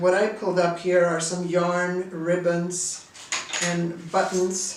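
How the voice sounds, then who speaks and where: A woman speaks at a medium pitch and a fairly slow pace. Noticeable background noise and audible room echo come through. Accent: Swedish. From Sweden. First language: Swedish. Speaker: artist and teacher. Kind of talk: tutorial.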